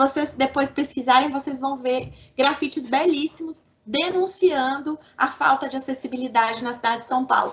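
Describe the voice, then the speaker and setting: A woman with a Minas Gerais accent speaks at a moderate pace in a high pitch, her pitch varying in an ordinary way while her loudness swings widely. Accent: mineiro. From Minas Gerais, Belo Horizonte. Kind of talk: radio interview.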